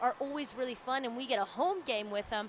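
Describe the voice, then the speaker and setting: Loud and very fast, a woman speaks at a high pitch with ordinary pitch variation over noticeable background noise. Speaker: student sports commentator. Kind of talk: live sports commentary.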